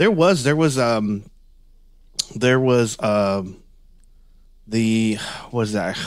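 Fairly low in pitch, a man speaks with a Texan accent. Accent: Texan American. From Northeast Texas. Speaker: Bigfoot and paranormal researcher. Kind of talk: casual interview. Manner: halting, many repetitions.

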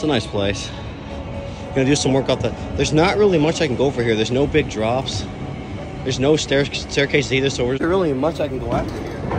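Clear music plays in the background as a man talks at a very fast pace with ordinary pitch variation, in a dry sound with no echo. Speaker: skateboarder vlogger. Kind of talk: casual vlog chat. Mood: mildly disappointed. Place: hall. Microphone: phone near.

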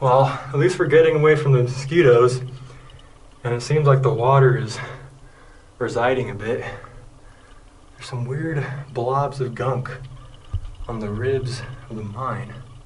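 A man talks at a moderate pace with fairly even intonation and long, frequent pauses over light background noise. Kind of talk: casual vlog commentary. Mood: annoyed, uncomfortable. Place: tunnel cave. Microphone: phone near.

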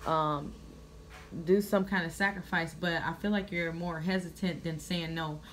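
Her voice is a plain, everyday voice, pitched fairly low for a woman, with fairly even intonation. She keeps a moderate pace over light background noise. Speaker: tarot reader. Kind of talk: casual tarot reading commentary. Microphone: phone near.

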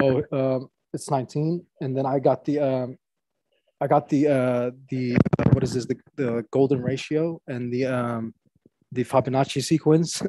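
With an American accent, a man speaks at a fairly slow pace and with fairly even intonation in a dry recording with no echo. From US. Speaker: participant sharing faith story. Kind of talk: personal testimony. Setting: video call. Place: home room. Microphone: earbuds.

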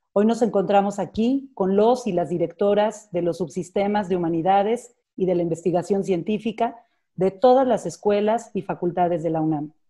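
Against a quiet background, a woman speaks in a dark, mellow tone. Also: ordinary pitch variation, moderate pace. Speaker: event coordinator introducing the speaker. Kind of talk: formal introduction. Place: home room. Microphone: earbuds.

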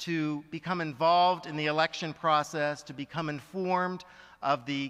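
A man's voice, bright and sharp in tone, at a moderate pace with fairly even intonation over a quiet background. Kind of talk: conference speech. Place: hall. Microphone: podium.

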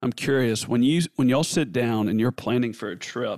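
A man with a medium pitch speaks in a Southern US accent on a very clean recording with a silent background. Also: dry, close sound with no echo. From US South. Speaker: podcast host. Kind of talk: podcast interview.

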